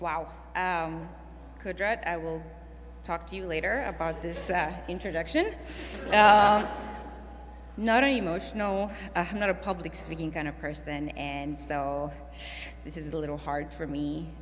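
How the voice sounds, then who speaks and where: The speech moves at a fairly slow pace with long, frequent pauses. Noticeable background noise and audible room echo fill the recording. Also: woman. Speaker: award recipient, trauma nurse. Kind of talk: acceptance speech. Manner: halting.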